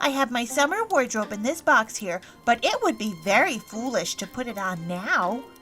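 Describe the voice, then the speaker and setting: With music in the background, a woman does a put-on character voice, high-pitched, with very wide pitch swings at a moderate pace. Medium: audio drama. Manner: playful.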